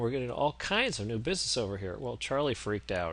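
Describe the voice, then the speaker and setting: With ordinary pitch variation, a man talks over a quiet background. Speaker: business consultant. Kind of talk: lecture. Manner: fast.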